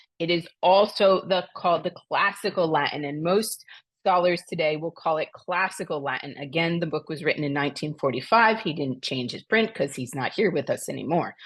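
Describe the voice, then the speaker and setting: With an American accent and a fairly low pitch, a woman speaks at a fairly quick pace with ordinary pitch variation against a quiet background. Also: hardly any pauses. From US Northeast, New Jersey. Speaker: Latin teacher, homeschooling parent. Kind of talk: tutorial. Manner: casual, with fillers.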